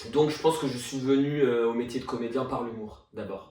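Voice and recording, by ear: Amid audible room echo, a man with a medium pitch and a dark, mellow tone talks at a fairly quick pace with ordinary pitch variation.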